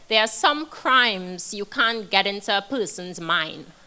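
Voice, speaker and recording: The voice has a bright, sharp tone and a non-native accent. It moves at a moderate pace. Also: woman. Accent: foreign. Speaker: criminal defense attorney. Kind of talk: panel discussion.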